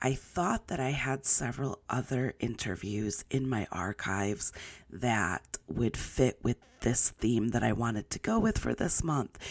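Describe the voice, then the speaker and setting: The speaker talks at a fairly slow pace. Their intonation is lively. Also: woman, very deep, low pitch for a woman. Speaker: podcast host. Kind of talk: short announcement.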